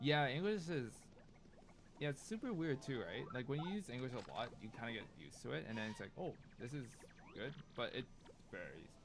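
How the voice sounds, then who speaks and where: Using a Cantonese accent, a man at medium pitch makes very wide pitch swings and talks at a fairly quick pace broken by long, frequent pauses. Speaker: video game streamer. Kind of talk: casual live stream chat. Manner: casual, filler-heavy.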